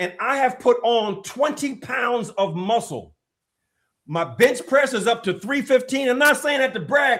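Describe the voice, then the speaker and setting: Animated in tone, a man with an extremely high pitch and ordinary pitch variation speaks at a fairly slow pace. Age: 60s. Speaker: health and fitness expert. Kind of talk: podcast interview.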